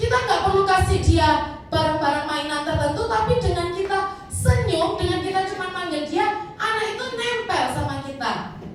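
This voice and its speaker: A woman speaks with a strong Javanese accent at an extremely high pitch, her intonation lively. Noticeable background noise and audible room echo fill the recording. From Indonesia, Batak family. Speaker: preacher. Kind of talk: sermon. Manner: casual, conversational.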